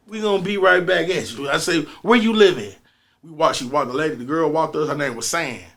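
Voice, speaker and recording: Lively intonation marks this man's fairly high-pitched voice at a very fast pace. Room echo is audible. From North St. Louis, Missouri. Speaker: musician. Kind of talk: casual storytelling interview. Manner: animated.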